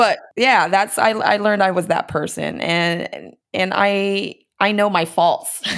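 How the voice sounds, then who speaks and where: A woman with an American accent and a plain, everyday voice speaks at a fairly slow pace, with ordinary pitch variation and very even loudness. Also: medium pitch for a woman. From United States. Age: 40s. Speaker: comedian. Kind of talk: casual chat.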